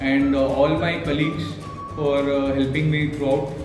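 Over clear music in the background, a man speaks at a moderate pace. His intonation is monotone and flat, with audible room echo. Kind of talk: testimonial. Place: office. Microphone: camera far.

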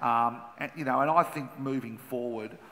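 A man with an Australian accent speaks at a moderate pace, his intonation fairly even. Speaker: former racing minister. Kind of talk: panel discussion. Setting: conference stage with audience. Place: stage. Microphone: headset.

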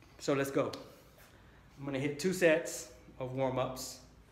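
Audible room echo and light background noise surround a man speaking at a fairly slow pace with fairly even intonation. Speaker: fitness vlogger. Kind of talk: casual vlog chat. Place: garage. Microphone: phone near.

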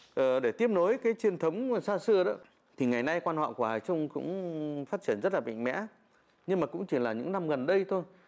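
A man with a high voice speaks at a fairly quick pace, his pitch swinging very widely. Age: 40s. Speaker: folk singer; interviewee. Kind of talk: interview. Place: home room.

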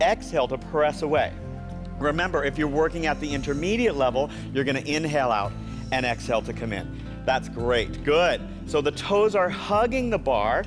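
A man at a moderate pace over clear music in the background. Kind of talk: exercise class instruction. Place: gym. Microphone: lapel.

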